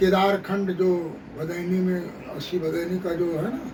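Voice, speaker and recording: A man speaks at a high pitch, with audible room echo and noticeable background noise. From Varanasi, eastern Uttar Pradesh. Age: 60s. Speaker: martial arts coach. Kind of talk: interview.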